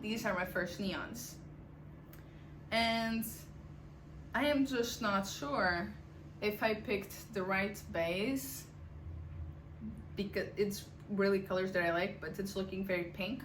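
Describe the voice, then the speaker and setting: A woman with vocal fry and a medium pitch speaks at a very slow pace, using long, frequent pauses and ordinary pitch variation, in a room with audible echo. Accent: non-native. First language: not English. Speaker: knitting podcaster. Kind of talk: casual chat. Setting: home attic.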